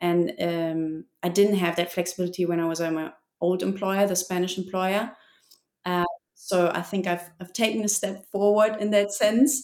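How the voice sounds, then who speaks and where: In a German accent, a woman talks at a moderate pace, her pitch medium and her intonation fairly even. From Germany. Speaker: expat guest, parent working remotely. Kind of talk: casual interview chat.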